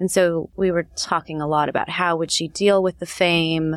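A woman with a West Coast accent speaks in a fairly low pitch with monotone, flat intonation, the sound dry and close with no echo in a very clean recording with a silent background. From Los Angeles. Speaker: TV writer. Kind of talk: interview.

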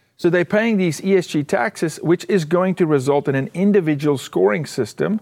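With an American accent, a man speaks in a high voice with lively intonation, the sound dry and close with no echo. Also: moderate pace, hardly any pauses. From outside the US, rugby country. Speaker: former pro football kicker. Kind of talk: interview. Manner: animated.

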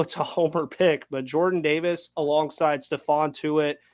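In an ordinary speaking voice, a man speaks at a moderate pace with a fairly high pitch. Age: 20s. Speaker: sports podcast host. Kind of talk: casual chat.

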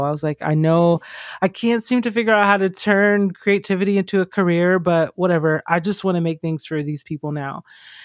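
A woman with an American accent uses a normal speaking voice at a fairly low pitch, moderate pace and ordinary pitch variation, in a dry, close sound with no echo. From US South, Georgia. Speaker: artist and writer. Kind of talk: casual interview chat.

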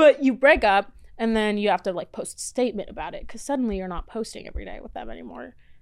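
A woman with a fairly high pitch and vocal fry talks at a very fast pace on a very clean recording with a silent background. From Florida, US. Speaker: reality TV personality and podcaster. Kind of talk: casual chat.

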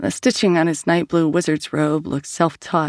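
A woman speaks at a moderate pace. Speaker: audiobook narrator. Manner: measured, expressive, storytelling pace, shifting tone for each character.

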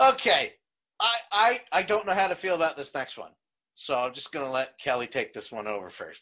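Over a quiet background, a man speaks in a high pitch with an American accent. His tone is bright and sharp, and his pitch swings very widely. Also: fairly quick pace, big swings in loudness. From South Jersey, US. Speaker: podcast host. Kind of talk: casual chat. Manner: loud; animated.

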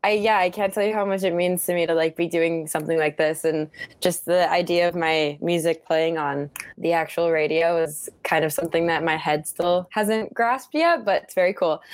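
Here is a woman with a normal speaking voice and an American accent. She talks at a moderate pace in a fairly low pitch with fairly even intonation. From Utah, US. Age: 20s. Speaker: singer-songwriter. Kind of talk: interview.

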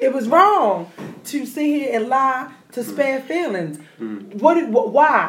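A woman talks at a fairly slow pace in a high pitch with very wide pitch swings. Noticeable background noise and audible room echo fill the recording. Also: big swings in loudness. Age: 30s. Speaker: podcast co-host. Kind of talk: casual chat. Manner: animated.

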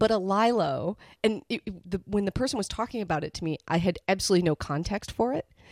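A woman at medium pitch, very fast and animated, with ordinary pitch variation and a dry, close sound with no echo. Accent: Midwestern US. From US Midwest. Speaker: podcast host. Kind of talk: casual chat. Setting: studio.

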